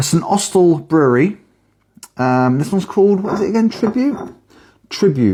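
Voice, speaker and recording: A woman with a British accent, a dark, mellow tone and very wide pitch swings. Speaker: beer reviewer. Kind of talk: casual video review. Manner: quiet.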